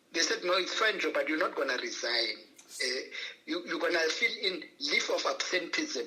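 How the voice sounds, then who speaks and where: The speech moves at a moderate pace. There is noticeable background noise throughout. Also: man. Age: 60s. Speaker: banker and entrepreneurship consultant. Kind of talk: interview. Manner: halting.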